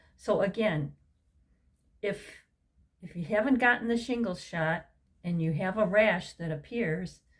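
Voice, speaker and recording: Fairly slow, somewhat breathy speech from a woman. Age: 60s. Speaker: health vlogger. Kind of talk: personal story vlog. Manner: casual, conversational with fillers.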